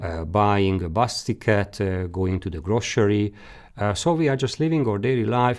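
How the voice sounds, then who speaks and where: Over a quiet background, a man speaks in a fairly low voice with ordinary pitch variation. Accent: Hungarian. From Hungary. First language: Hungarian. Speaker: career guidance expert. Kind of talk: lecture. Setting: webinar. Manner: halting.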